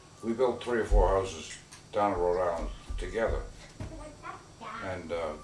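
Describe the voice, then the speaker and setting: A man at a moderate pace with long, frequent pauses, audible room echo and noticeable background noise. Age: 80s+. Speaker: retired real estate man. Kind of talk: interview. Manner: halting, many fillers.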